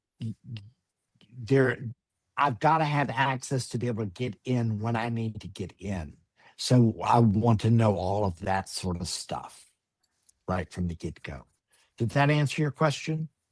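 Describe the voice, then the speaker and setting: The voice is somewhat breathy and fairly slow, broken by long, frequent pauses yet carrying lively intonation. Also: man, medium pitch for a man. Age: 60s. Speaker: personal chef. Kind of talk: webinar presentation.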